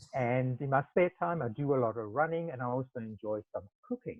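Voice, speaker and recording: A man at a medium pitch with a South African accent, at a moderate pace. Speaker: travel industry specialist. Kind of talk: webinar presentation. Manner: speaking loudly.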